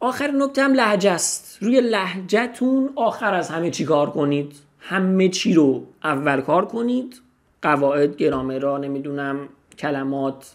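Pitched high for a man, this voice moves at a fairly slow pace with very wide pitch swings. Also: quiet background. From Iran. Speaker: language teacher. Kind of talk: tutorial. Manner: casual. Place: home room. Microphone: studio mic.

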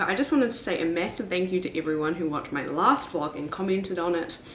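Light background noise and audible room echo around a female voice. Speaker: vlogger. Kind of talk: casual vlog chat. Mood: cheerful, laughing. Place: home room. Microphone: camera far.

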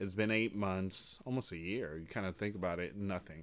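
A man speaks at a moderate pace in a fairly low voice with ordinary pitch variation. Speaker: news commentary channel host. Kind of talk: commentary. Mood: somber, earnest. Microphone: studio mic.

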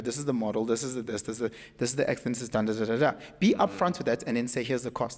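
At a very fast pace, a man speaks in an animated tone. His pitch sits at a medium level. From South Africa. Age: 30s. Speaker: podcast guest. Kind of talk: casual chat. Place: studio. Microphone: studio mic.

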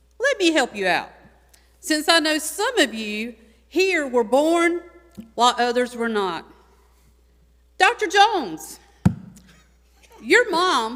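Loud, animated speech from a woman with a North Carolina accent, high-pitched with very wide pitch swings, fairly slow with long, frequent pauses, over noticeable background noise. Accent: Southern US (North Carolina). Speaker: retired teacher. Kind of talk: public comment speech.

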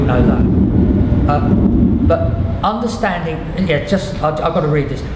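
Loud background noise behind a man's fairly slow delivery. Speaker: painter and art professor. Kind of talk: panel discussion. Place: hall.

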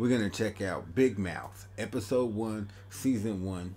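This man has a dark, mellow tone and sounds somewhat breathy. He speaks at a fairly slow pace with ordinary pitch variation. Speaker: reaction channel host. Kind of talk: casual vlog chat. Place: home room.

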